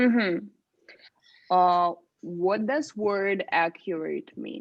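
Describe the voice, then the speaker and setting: With a Russian accent and a medium pitch, a woman speaks very slowly but with lively intonation. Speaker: speaking club leader. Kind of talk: casual chat.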